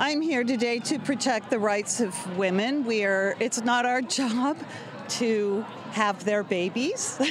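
Against noticeable background noise, a woman speaks very slowly at a fairly high pitch, her loudness very even. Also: ordinary pitch variation. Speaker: nurse. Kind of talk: street interview.

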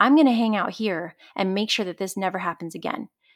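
A woman speaks in a normal speaking voice, her medium pitch moving with ordinary variation. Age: 30s. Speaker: wellness coach. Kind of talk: casual chat.

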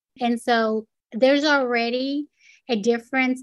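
A woman with a Spanish accent speaks in a high pitch with flat, monotone intonation. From Puerto Rico. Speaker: nonprofit executive director. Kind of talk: interview.

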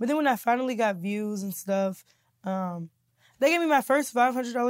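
Speaking at a fairly quick pace with lively intonation, a woman with an American accent is heard on a very clean recording with a silent background. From Kansas City, Missouri. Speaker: comedian and YouTuber. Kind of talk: casual interview.

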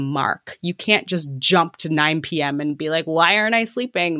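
An ordinary speaking voice from a woman with a Canadian accent, fairly low pitch, ordinary pitch variation and a moderate pace, on a very clean recording with a silent background. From Canada. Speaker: cognitive aging researcher. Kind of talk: interview.

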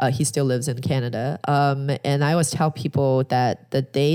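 A woman's very deep, low voice with a dark, mellow tone and a Chinese accent, fairly quick and flat in a monotone, on a very clean recording with a silent background. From China, Shanghai. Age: 30s. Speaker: real estate investor. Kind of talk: interview.

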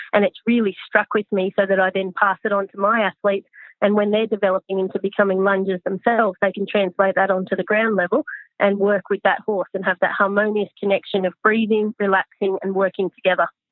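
Speaking at a fairly quick pace, a woman with an Australian accent keeps a monotone, flat delivery at a medium pitch. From Australia, Newcastle NSW. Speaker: vaulting coach. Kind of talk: interview.

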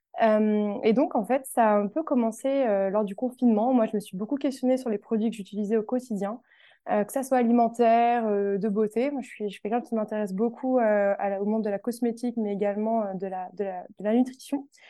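A woman talks fairly fast in a fairly high voice, her pitch varying in an ordinary way. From France, Tours. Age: 20s. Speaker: wellness box founder. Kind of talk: interview. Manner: hesitant with fillers.

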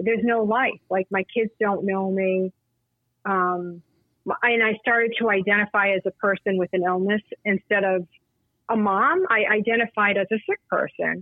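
The speech moves at a moderate pace in a normal speaking voice. Loudness stays very even and intonation fairly even. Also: woman, medium pitch for a woman. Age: 50s. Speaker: patient advocate and author. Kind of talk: casual chat.

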